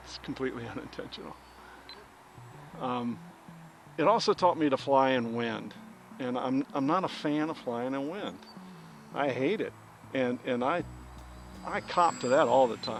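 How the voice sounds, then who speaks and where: Over background music, a man talks at a moderate pace and medium pitch with ordinary pitch variation and long, frequent pauses. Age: 60s. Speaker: RC plane hobbyist vlogger. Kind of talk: casual vlog chat while flying. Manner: halting, many fillers and repeats.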